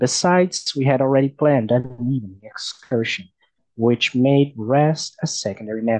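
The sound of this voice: Against a quiet background, the pitch varies in an ordinary way in an unforced reading voice.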